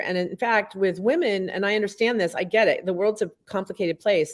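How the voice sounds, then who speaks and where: A woman speaks at a fairly quick pace with medium pitch and ordinary pitch variation. It is an unremarkable speaking voice. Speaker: author and speaker. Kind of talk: casual chat. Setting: studio.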